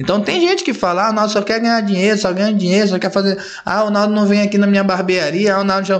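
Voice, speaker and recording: There is audible room echo as a man with a high pitch speaks at a very fast pace. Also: fairly even intonation. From Rondônia, Brazil (Guajará-Mirim). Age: 30s. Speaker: barber and barbershop event promoter. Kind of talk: casual interview chat.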